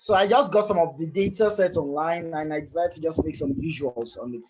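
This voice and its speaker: Speaking at a fairly quick pace, this man has a high voice, lively intonation, and big swings in loudness. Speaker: software developer and presenter. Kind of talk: technical presentation. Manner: hesitant, with fillers and repetitions.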